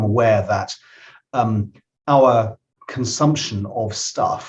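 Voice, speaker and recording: Speaking with a British accent, a man sounds somewhat breathy. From UK. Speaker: tech startup founder and CEO. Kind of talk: podcast interview. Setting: studio.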